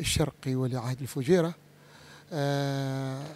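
A man talks at a fairly slow pace with fairly even intonation. His tone is dark and mellow, and the sound is dry with no echo. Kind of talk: interview answer. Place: hall. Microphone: handheld.

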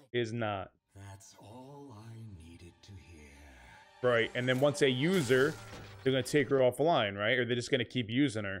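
Faint music plays in the background as a man talks at a moderate pace with ordinary pitch variation and big swings in loudness. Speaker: reaction video host. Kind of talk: casual reaction commentary. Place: home room. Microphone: studio mic.

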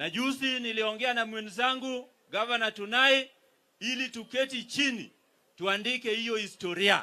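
A man's raised, projected voice with a Kenyan accent, extremely high in pitch and bright, sharp in tone, at a moderate pace with fairly even intonation. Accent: Kenyan (Luo) English. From Kenya, Migori. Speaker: politician, county governor; politician. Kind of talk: political speech at a rally. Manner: formal. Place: stage. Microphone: handheld.

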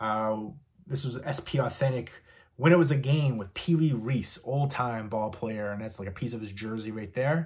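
Over a quiet background, a man with an American accent talks at a moderate pace, somewhat breathy. His loudness swings widely, while his pitch variation is ordinary. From US East Coast, partly Virginia. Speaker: YouTuber showing a movie and memorabilia collection. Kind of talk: casual collection show-and-tell vlog; casual vlog chat. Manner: casual with frequent fillers. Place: home room.

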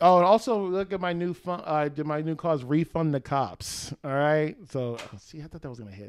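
A man talks at a fairly quick pace with hardly any pauses, in an animated tone and a fairly high pitch. His intonation is lively, and his loudness swings widely. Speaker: comedian; podcast guest comedian. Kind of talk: casual chat. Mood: joking, playful. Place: home room. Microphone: handheld.

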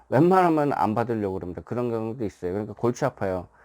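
In a very clean recording with a silent background, a man talks very fast with lively intonation. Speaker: writer and former marine. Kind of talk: casual explanatory monologue. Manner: filler-heavy, repetitive (예, 이제, 뭐).

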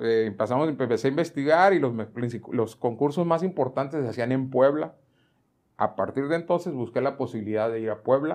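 A man with a plain, everyday voice speaks at a moderate pace with lively intonation over a quiet background. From Mexico. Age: 60s. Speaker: retired school choir director; guest. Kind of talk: interview. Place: home room. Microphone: lapel.

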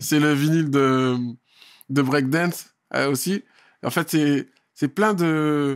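Against a quiet background, a man with a fairly high pitch speaks at a very slow pace, with long, frequent pauses, fairly even intonation and very even loudness. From France, Val-d'Oise (Paris suburbs); France. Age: 40s. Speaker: dancer and choreographer; guest, MC. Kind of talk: casual interview. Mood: relaxed, reminiscing. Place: studio. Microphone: studio mic.

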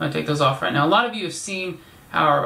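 A man speaks at a high pitch. Audible room echo surrounds his voice. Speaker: video creator. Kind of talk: casual vlog chat. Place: home room. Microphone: camera far.

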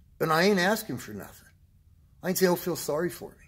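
A man speaks with vocal fry. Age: 60s. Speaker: vlogger sharing health and fitness motivation. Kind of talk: motivational monologue. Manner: animated. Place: gym. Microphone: phone near.

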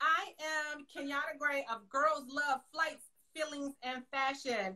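A raised, projected voice with a bright, sharp tone comes through against a quiet background. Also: woman. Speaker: podcast host. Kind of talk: interview introduction. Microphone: video call.

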